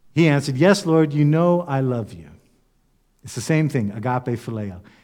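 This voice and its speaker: With an ordinary speaking voice and lively intonation, a man talks at a moderate pace in a very clean recording with a silent background. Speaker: pastor. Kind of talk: sermon.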